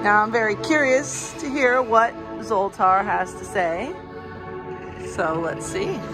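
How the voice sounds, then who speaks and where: A woman at a very slow pace with long, frequent pauses and big swings in loudness, clear music in the background. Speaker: theme park news reporter. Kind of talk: casual talk to camera, news walkthrough. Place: shop. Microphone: phone near.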